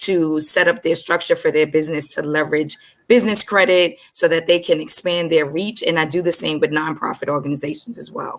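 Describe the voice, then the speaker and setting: Speaking in an American accent, this woman has a fairly low-pitched voice. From Brooklyn, New York. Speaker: co-host and business consultant. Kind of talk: panel discussion.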